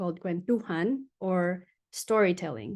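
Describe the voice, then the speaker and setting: A woman's medium-pitched voice in a Filipino accent over a quiet background. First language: Tagalog. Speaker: design researcher and futurist speaker. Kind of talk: webinar presentation. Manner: hesitant, many fillers.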